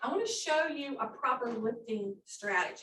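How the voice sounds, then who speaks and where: In an ordinary speaking voice, a woman talks at a fairly high pitch with lively intonation. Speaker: occupational therapist. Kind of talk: workshop presentation.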